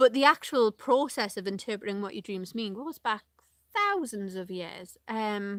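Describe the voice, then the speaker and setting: With a Northeast English accent, a woman at medium pitch speaks at a moderate pace in a very clean, dry, close recording with no echo and a silent background. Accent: Northeast English, regional. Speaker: vlogger. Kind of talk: casual live vlog chat. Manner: hesitant, many fillers.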